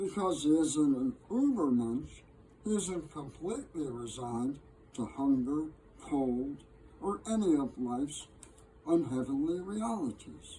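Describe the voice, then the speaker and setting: Speaking at a fairly slow pace, a man uses lively intonation in a fairly high voice. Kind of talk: poetry reading. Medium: solo performance. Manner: measured, gently wry.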